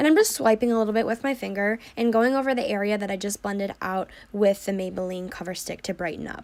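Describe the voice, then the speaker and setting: Noticeable background noise sits behind a woman talking at a very fast pace. She hardly pauses and uses ordinary pitch variation. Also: medium pitch for a woman. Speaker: beauty vlogger. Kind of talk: makeup tutorial talk to camera. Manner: casual, chatty.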